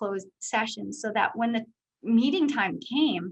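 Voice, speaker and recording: A woman speaks at a fairly high pitch. Her pitch variation is ordinary. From Saskatchewan, Canada. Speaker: business executive. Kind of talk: Q&A interview. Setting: video call.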